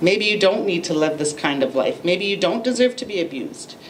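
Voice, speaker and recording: A woman with a Canadian accent, medium pitch and lively intonation at a fairly slow pace, over noticeable background noise. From Lethbridge, Alberta, Canada. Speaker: abuse survivor and advocate. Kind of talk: public speech.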